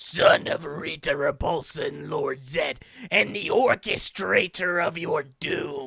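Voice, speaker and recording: A raspy, put-on character voice comes from a man. His pace is fairly slow. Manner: menacing.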